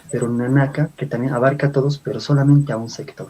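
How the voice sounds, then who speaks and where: A man speaks in a fairly high voice with a dark, mellow tone and a somewhat breathy quality. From Bolivia. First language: Aymara (speaking Spanish). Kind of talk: lecture-style talk.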